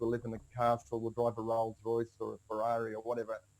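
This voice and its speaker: With an Australian accent, this speaker moves along at a fairly quick pace. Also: man. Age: 60s. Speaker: personal finance coach. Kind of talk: podcast interview. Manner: casual, with frequent fillers and repeats.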